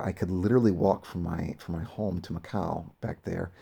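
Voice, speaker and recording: A man with a very deep, low pitch speaks in a dark, mellow, somewhat breathy tone with ordinary pitch variation. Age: 30s. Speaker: bodybuilder. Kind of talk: casual video diary voiceover. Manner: halting, many fillers.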